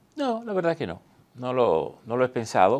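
A man's moderately paced speech with lively intonation and vocal fry. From Dominican Republic, northwest line (Montecristi); Dominican Republic. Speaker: veteran journalist and newspaper director; interview guest, journalist. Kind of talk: interview. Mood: calm, reflective. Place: studio. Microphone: lapel.

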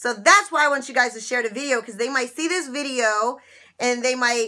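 A woman speaks in a high, bright and sharp voice with an animated tone. Her intonation is lively, and the background is quiet. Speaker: YouTuber sharing couponing and money-saving tips. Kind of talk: casual vlog monologue to viewers. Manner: animated, chatty. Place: office. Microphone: webcam.

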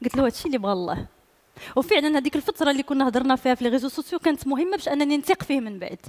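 A woman's high voice at a very fast pace. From Morocco. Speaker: singer; guest. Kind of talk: casual chat. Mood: warm, storytelling. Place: studio. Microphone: headset.

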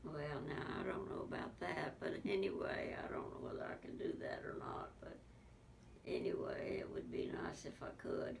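A woman is whispering. Her pace is moderate. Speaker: interviewee. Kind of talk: interview answer. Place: home room.

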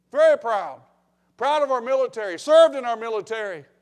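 Over a silent background in a very clean recording, a man speaks at an extremely high pitch with ordinary pitch variation.

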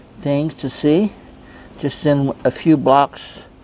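Dry sound with no echo and light background noise. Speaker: travel vlogger. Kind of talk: casual vlog chat. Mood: relaxed, amused. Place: street. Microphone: phone near.

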